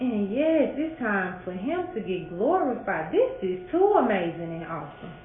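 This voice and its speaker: A woman with an American accent speaks at a moderate pace and fairly high pitch, with very wide pitch swings and hardly any pauses, over noticeable background noise. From St. Louis, Missouri. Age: 40s. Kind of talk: interview answer.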